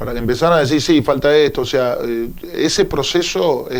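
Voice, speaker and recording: A man speaks with a Buenos Aires province accent. Noticeable background noise can be heard. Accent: Olavarría accent (Buenos Aires province). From Argentina, Olavarría (Buenos Aires province). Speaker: union leader. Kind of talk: radio interview.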